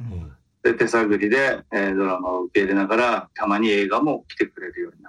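Using a plain, everyday voice, a man speaks at a fairly quick pace with ordinary pitch variation and big swings in loudness. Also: fairly low pitch for a man. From Kitakyushu, Japan. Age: 50s. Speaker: film commission officer. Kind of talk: interview.

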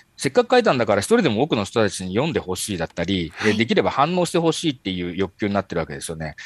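A man speaks at a very fast pace with hardly any pauses and very wide pitch swings. His pitch is fairly low, and the sound is dry and close with no echo. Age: 40s. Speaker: marketing company executive. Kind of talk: interview. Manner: halting, many fillers.

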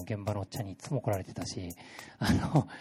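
A man talks at a fairly low pitch with ordinary pitch variation. His voice is somewhat breathy. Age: 30s. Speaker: creative agency project leader. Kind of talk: talk to a live audience. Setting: stage with audience.

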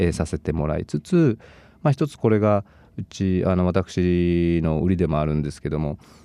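A man's very deep, low voice with a dark, mellow tone, ordinary pitch variation and a moderate pace, dry and close with no echo against a quiet background. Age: 40s. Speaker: fitness studio owner and trainer. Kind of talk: interview.

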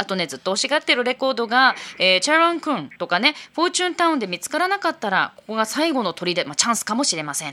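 A woman talks at a very fast pace in a bright, sharp tone with vocal fry. Her pitch swings very widely and her loudness shifts in big swings. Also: fairly high pitch for a woman. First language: Japanese. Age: 40s. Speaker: radio host. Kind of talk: radio show segment, bilingual.

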